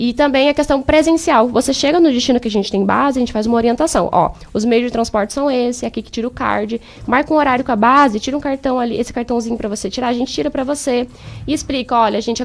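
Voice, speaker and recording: A woman's high voice at a very fast pace, ordinary pitch variation, noticeable background noise. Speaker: exchange agency consultant. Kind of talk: radio interview, sales pitch.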